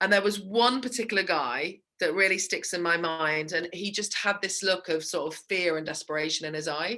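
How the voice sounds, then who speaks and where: The woman's tone is bright and sharp. She talks at a moderate pace with ordinary pitch variation. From England. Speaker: small business sales coach. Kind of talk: interview.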